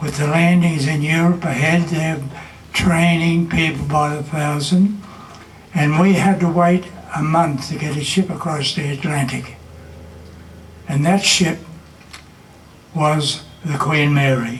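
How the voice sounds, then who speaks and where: Against noticeable background noise, a man with an Australian accent speaks fairly slowly in a fairly high voice, with fairly even intonation and long, frequent pauses. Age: 80s+. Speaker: war veteran. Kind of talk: commemorative speech.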